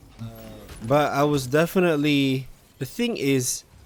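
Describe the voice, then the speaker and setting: Quietly and at a very slow pace, a man speaks. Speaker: gaming streamer. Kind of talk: live gameplay commentary. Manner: halting.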